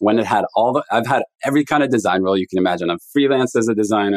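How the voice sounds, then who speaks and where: Ordinary pitch variation marks this man's speech. He talks very fast. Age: 40s. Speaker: venture capital investor. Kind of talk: casual interview. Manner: halting.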